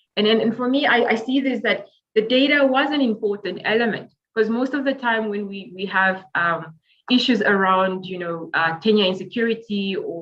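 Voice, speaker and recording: At a fairly quick pace, a woman talks in a plain, everyday voice, medium in pitch with ordinary pitch variation. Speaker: urban planning academic. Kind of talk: webinar panel talk. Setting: video call.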